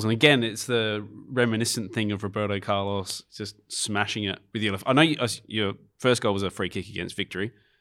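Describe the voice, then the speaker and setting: A man speaks at a fairly quick pace with a fairly low pitch. His pitch variation is ordinary, and the recording is very clean with a silent background. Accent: Australian. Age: 40s. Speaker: podcast host. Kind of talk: casual interview.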